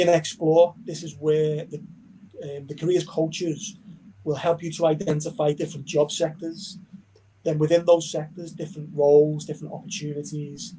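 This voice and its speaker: A man with a Liverpool accent speaks at a moderate pace in a fairly high pitch. His tone is dark and mellow, the intonation fairly even, with big swings in loudness. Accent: Liverpool (Scouse). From Liverpool, England. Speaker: university recruitment manager. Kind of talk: online information session.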